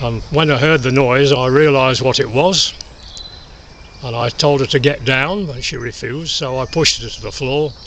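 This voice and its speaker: A man with an East Midlands accent speaks at a moderate pace, fairly high and fairly even. Noticeable background noise is present. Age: 80s+. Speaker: war veteran. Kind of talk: testimony. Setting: outdoors. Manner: halting.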